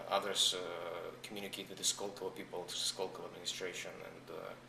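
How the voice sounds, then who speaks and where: A man with a Russian accent amid noticeable background noise. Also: fairly quick pace. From Russia, Saint Petersburg; US from age 14. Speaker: entrepreneur. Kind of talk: interview.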